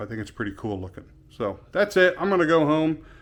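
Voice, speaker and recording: This is a plain, everyday voice. It moves at a fairly quick pace with lively intonation. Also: man. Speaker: car audio shop owner. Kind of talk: casual vlog.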